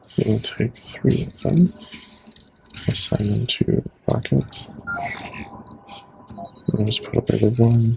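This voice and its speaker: A man's calm, very slow speech with long, frequent pauses over noticeable background noise. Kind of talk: ASMR gaming commentary, casual talk to camera. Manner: soft-spoken, calm.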